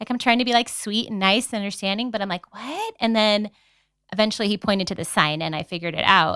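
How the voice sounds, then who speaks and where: This woman has a Californian accent and a bright, sharp tone with ordinary pitch variation. The recording is very clean and dry, close with no echo, over a silent background. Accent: Californian American English. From San Diego, California. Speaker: podcast co-host. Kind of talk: casual chat.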